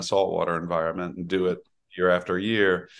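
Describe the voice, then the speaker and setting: Against a quiet background, a man speaks with a very deep, low pitch and monotone, flat intonation. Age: 60s. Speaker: winery owner. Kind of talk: interview.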